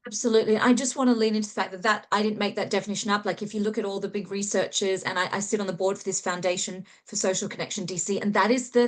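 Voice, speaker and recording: With an Australian accent, a woman of medium pitch speaks very fast with hardly any pauses and monotone, flat intonation. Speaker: author and human connection specialist. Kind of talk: interview.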